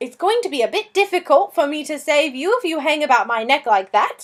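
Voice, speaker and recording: Using a put-on character voice, a woman talks at a fairly quick pace in a high pitch that swings very widely. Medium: read story. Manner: polite, apologetic, genteel.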